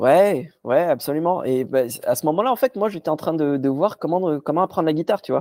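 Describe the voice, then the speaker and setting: Dry and close with no echo, a man's dark, mellow voice sits at a fairly high pitch and moves at a fairly quick pace with lively intonation. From Morocco, Casablanca. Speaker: magician and stand-up comedian. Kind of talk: casual chat.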